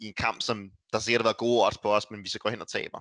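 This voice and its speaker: The sound is dry and close with no echo. A man talks very fast. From Denmark, North Zealand. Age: 20s. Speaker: professional esports player. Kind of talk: casual interview chat. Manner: halting, many repetitions.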